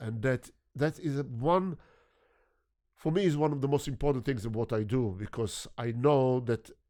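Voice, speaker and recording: A man with a non-native accent speaks at a moderate pace in a medium pitch, his dark, mellow tone carrying ordinary pitch variation. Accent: foreign accent, noticeably non-American. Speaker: photographer. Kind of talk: interview conversation.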